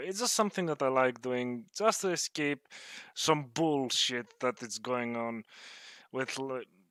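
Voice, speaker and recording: Recorded with a dry, close sound and no echo, a man talks with a non-native accent. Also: very clean recording, silent background. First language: not English. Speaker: gaming YouTuber. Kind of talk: personal vlog rant. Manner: halting, hesitant with fillers.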